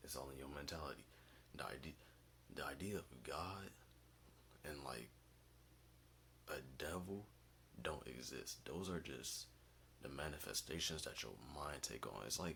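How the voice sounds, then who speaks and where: Quiet and very deep in pitch, a man speaks at a moderate pace in a bright, sharp tone with vocal fry, ordinary pitch variation, and long, frequent pauses. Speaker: vlogger. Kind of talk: casual monologue. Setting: basement at home.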